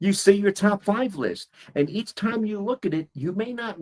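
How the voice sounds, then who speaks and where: With a New York accent, a man is talking. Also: dry, close sound with no echo. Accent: New York American. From US, New York City. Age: 60s. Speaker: English teacher. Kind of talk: one-on-one language lesson.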